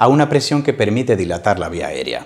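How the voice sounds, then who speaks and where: Against a quiet background, a man speaks. His pace is fairly quick. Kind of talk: interview answer. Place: office. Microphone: lapel.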